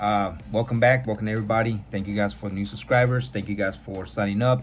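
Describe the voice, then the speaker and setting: Somewhat breathy, a man with a fairly low pitch talks at a very fast pace with lively intonation. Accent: American. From California, US. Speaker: podcast host. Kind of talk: personal testimony. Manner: casual.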